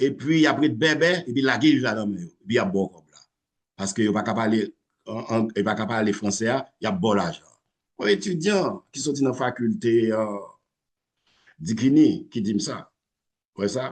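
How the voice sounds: A man's slightly husky voice at a fairly low pitch and moderate pace, with lively intonation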